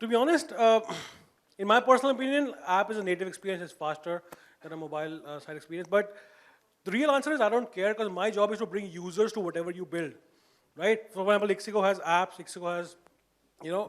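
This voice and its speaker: A man with a high pitch talks at a very fast pace, using lively intonation, big swings in loudness, and long, frequent pauses. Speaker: marketing manager at a tech company. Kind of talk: panel discussion.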